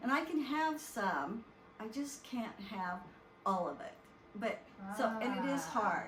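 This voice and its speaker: Over noticeable background noise, a woman with a fairly high voice speaks at a very slow pace, with long, frequent pauses and very wide pitch swings. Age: 70s. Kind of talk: interview answer.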